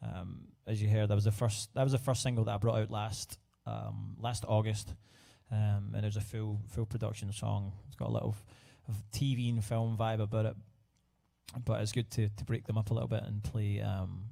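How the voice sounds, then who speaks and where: A man speaks at a moderate pace with a Scottish accent, his pitch fairly low. His tone is dark and mellow, somewhat breathy, with fairly even intonation. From Scotland. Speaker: singer-songwriter. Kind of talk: casual live stream chat. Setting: livestream at home. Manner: halting, many fillers.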